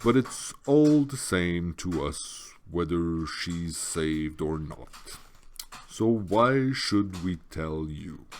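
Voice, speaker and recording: In a put-on character voice, a man speaks very slowly with a wheezy, very deep, low pitch on a very clean recording with a silent background. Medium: read story. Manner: slow, muttering to herself.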